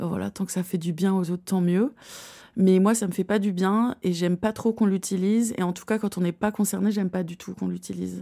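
The tone is dark and mellow, with fairly even intonation at a fairly quick pace. It is a very clean recording with a silent background. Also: woman, medium pitch for a woman. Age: 30s. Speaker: author and slam poet. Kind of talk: interview.

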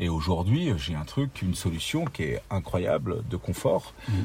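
At a moderate pace, a man speaks in a very deep, low voice with a dark, mellow tone and vocal fry. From northeastern France, Ardennes. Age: 50s. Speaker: bike brand founder and engineer. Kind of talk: interview. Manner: halting, many repetitions.

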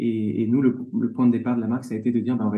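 A man speaks at a medium pitch. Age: 30s. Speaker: leather goods brand co-founder. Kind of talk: interview. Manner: halting, many repetitions and fillers.

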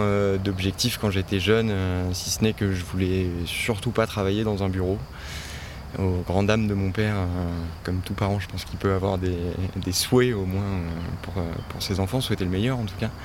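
A man's fairly low voice at a moderate pace, with fairly even intonation, long and frequent pauses, and noticeable background noise. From French Alps (Oisans, Isère). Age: 30s. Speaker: farm worker, former photographer. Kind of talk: interview. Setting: outdoors on a farm plot. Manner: hesitant, many fillers and repetitions.

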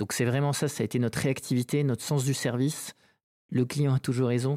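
A man speaks at a medium pitch with a dark, mellow tone and monotone, flat intonation. The recording is very clean with a silent background and has a dry, close sound with no echo. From French Basque Country (Saint-Jean-de-Luz). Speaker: company founder. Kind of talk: interview. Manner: halting, many hesitations.

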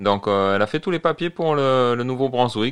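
A man is speaking. The background is quiet. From Marseille, southern France. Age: 40s. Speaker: French immigrant in Canada. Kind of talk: casual interview. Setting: studio.

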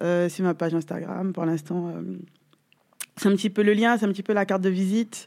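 Long, frequent pauses break up a woman's fairly quick speech, her medium-pitched voice carrying a dark, mellow tone. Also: fairly even intonation. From Guadeloupe. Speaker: gwoka dancer and trainee coach. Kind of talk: interview. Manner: talkative.

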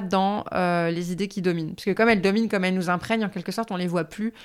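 A woman has an unremarkable speaking voice at a medium pitch with fairly even intonation. The recording is very clean, with a silent background. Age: 30s. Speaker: writer and feminist activist. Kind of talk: interview.

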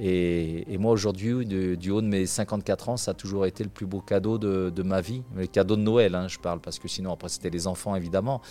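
A man speaks with hardly any pauses, his pitch very deep and low. His tone is dark and mellow, his intonation fairly even. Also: moderate pace. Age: 50s. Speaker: equestrian performer. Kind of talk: interview. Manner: halting, with frequent fillers.

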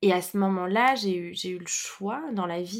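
A woman talks at medium pitch with ordinary pitch variation. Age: 30s. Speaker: entrepreneur and women's circle facilitator. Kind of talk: casual interview conversation. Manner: hesitant, many fillers.

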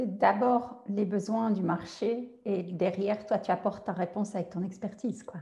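A woman with a somewhat breathy, dark, mellow tone speaks at medium pitch with fairly even intonation. She goes at a fairly slow pace with hardly any pauses. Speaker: podcast host and coach. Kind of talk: interview.

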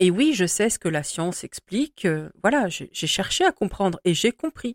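A woman at medium pitch, with lively intonation and a moderate pace, in a very clean recording with a silent background and a dry, close sound with no echo. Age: 40s. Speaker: spiritual podcast host. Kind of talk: solo monologue podcast. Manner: hesitant, with fillers.

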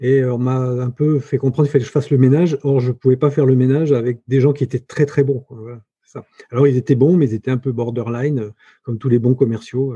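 In a dry, close sound with no echo, a man talks very fast in a flat monotone, somewhat breathy, with a dark, mellow tone and medium pitch. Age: 50s. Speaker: entrepreneur. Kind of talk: interview. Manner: halting.

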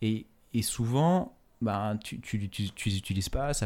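A man at a medium pitch with ordinary variation, on a very clean recording with a silent background. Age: 30s. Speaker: fashion entrepreneur. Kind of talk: interview. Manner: halting, many fillers and repetitions.

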